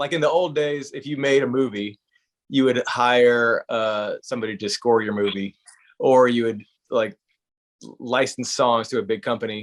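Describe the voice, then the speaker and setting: A man with an American accent speaks in a plain, everyday voice at a medium pitch and fairly slow pace, with ordinary pitch variation and a dry, close sound with no echo. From US South, South Carolina. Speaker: country musician. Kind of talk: interview. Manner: casual, conversational.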